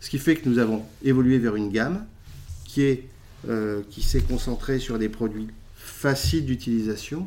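A man speaks at a moderate pace with a medium pitch, ordinary pitch variation and a dark, mellow tone. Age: 40s. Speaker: food company executive. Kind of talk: interview. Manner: halting, many repetitions.

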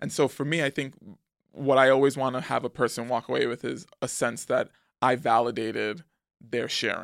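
With vocal fry, a man talks at a moderate pace in an American accent. The recording is very clean, with a silent background. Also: medium pitch for a man, ordinary pitch variation, dry, close sound with no echo. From New York City, the Bronx. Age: 30s. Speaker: screenwriter. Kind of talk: casual chat.

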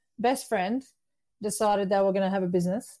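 In a very clean recording with a silent background, this voice carries a dark, mellow tone. It has an Australian accent. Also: woman. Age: 50s. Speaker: entrepreneur. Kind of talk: interview.

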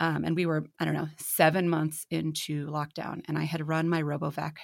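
On a very clean recording with a silent background, a woman speaks at a moderate pace in a very deep, low voice with vocal fry. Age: 30s. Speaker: podcast host and writer. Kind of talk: casual chat.

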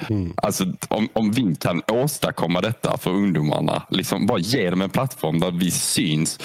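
A man speaks with ordinary pitch variation. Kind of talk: casual podcast interview.

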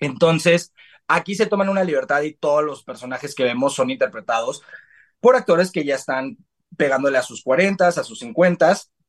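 This man's intonation is lively and his pitch fairly high. He keeps a moderate pace. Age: 20s. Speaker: TV series reviewer. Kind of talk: casual chat.

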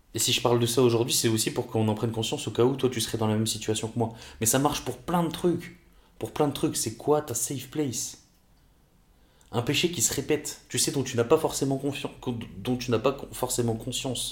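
A somewhat breathy man's voice at medium pitch, with a fairly quick pace and ordinary pitch variation. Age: 20s. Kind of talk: casual faith talk. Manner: halting.

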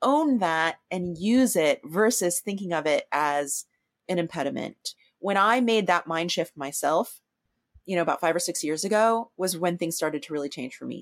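A woman with a plain, everyday voice, fairly low in pitch, with lively intonation at a moderate pace, on a very clean recording with a silent background and a dry, close sound with no echo. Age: 50s. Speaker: artist. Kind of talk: interview conversation.

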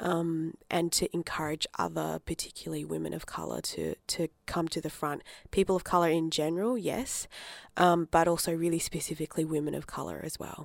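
A woman with an Australian accent at a fairly quick pace, the sound dry and close with no echo, on a very clean recording with a silent background. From Australia, Adelaide. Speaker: writer and arts producer. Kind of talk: interview. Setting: studio.

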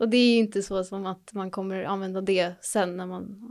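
The speaker is a woman. Her intonation is monotone and flat. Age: 20s. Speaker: nursing student. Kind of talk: casual chat.

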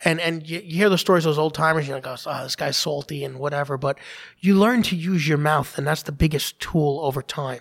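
In a New York accent, a man talks at a very fast pace with a fairly high pitch. Pitch variation is ordinary, and the recording is very clean against a silent background. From Staten Island, New York. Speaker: police officer, advocacy group founder. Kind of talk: interview.

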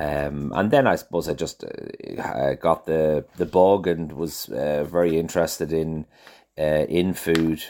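In a Dublin accent, a man with a very deep, low pitch speaks at a fairly slow pace with ordinary pitch variation, on a very clean recording with a silent background. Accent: Irish (Dublin). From Ireland, Dublin. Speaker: chef and restaurateur. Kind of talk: interview. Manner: halting, many fillers and repetitions.

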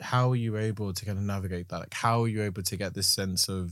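A man speaks at a moderate pace with fairly low pitch and fairly even intonation, in an ordinary speaking voice. The recording is very clean, with a silent background. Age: 30s. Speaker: poet and writer. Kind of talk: casual conversation.

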